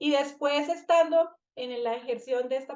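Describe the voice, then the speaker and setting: With a Colombian accent, a woman speaks at a high pitch with ordinary pitch variation. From Colombia, Bucaramanga. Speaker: family constellation therapist and trainer. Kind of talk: online master class presentation. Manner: halting, many fillers.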